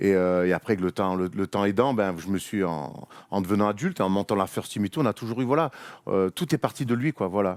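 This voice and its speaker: At a fairly quick pace, a man with a Marseille accent speaks in a fairly low voice with ordinary pitch variation. The sound is dry and close with no echo, recorded very cleanly against a silent background. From Marseille, southern France. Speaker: basketball media host, former player. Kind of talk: casual chat.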